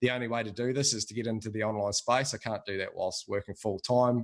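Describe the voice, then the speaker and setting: A man's fairly even intonation comes through against a quiet background. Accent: Australian. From Australia. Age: 40s. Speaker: customer giving testimonial. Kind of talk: testimony.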